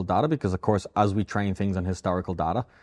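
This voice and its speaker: Over a quiet background, a man with an Irish accent talks at a very fast pace. His pitch is fairly low. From Ireland, Dublin. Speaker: AI company founder. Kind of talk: interview. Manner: repetitive, many restarts.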